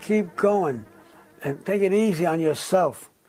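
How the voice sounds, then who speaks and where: With music in the background, a man speaks at a fairly slow pace in a high pitch with ordinary pitch variation. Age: 90s. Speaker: band leader. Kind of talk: interview.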